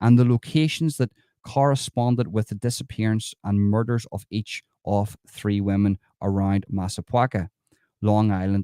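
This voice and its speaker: In an Irish accent, a man talks at a moderate pace with a fairly low pitch and a dark, mellow tone. The sound is dry and close with no echo, a very clean recording with a silent background. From Ireland. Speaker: true crime commentator. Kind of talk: livestream commentary reading news article. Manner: casual, conversational.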